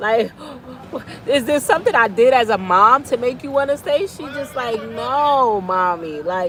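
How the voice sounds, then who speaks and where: Crowd noise fills the background as a woman speaks fairly slowly in a fairly high voice. Her pitch swings very widely and her loudness shifts a lot. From New York City. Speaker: vlogger. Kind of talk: casual chat.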